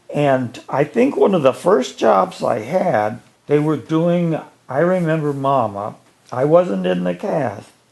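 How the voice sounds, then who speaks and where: A man speaks very slowly with an Ohio accent. His fairly high voice swings very widely in pitch. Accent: Midwestern US (Ohio). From northeastern Ohio, Ashtabula County. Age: 80s+. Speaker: retired educator. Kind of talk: storytelling interview.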